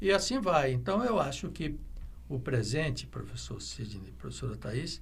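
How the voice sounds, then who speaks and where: There is audible room echo around the man's voice. He speaks at a fairly slow pace. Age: 70s. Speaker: veterinarian. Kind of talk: interview. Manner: halting, with many fillers; reflective.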